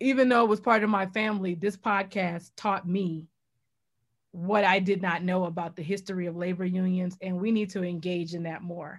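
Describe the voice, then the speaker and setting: A woman with an American accent speaks at a moderate pace and medium pitch, her intonation fairly even. It is an unremarkable speaking voice on a very clean recording with a silent background. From New Orleans, US South. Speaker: journalist and podcast host. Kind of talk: interview.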